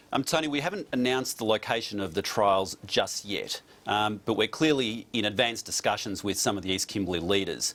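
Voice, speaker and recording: In an Australian accent, a man talks at a fairly quick pace with hardly any pauses. His voice sits fairly low, with ordinary pitch variation. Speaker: politician. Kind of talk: TV news interview. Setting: remote studio link.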